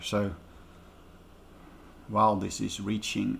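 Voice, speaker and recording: A man speaks at a fairly slow pace. His pitch is fairly low. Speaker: DIY audio speaker builder. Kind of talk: casual tutorial talk to camera.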